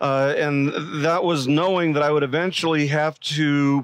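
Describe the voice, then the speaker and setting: A man at a moderate pace, with a dry sound and no echo. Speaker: pastor. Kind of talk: sermon. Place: stage. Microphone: headset.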